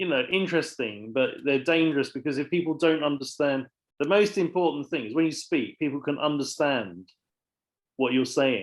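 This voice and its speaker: A man with a southern English accent, fairly high pitch, moderate pace, and lively intonation. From southern England. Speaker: English teacher. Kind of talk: online lesson. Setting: video call.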